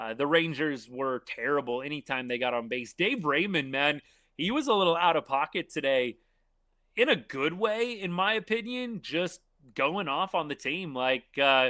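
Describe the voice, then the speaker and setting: A man with an American accent has a normal speaking voice at a fairly high pitch. He talks at a moderate pace with lively intonation. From Texas, Arlington. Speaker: sports livestream host. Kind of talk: live stream chat. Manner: casual, conversational.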